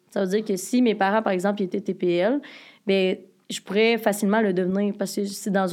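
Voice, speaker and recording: Medium-pitched female voice, fairly quick pace, monotone flat intonation, very clean recording with a silent background. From Quebec, Joliette. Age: 20s. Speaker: podcast guest, education student. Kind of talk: personal testimony in casual interview.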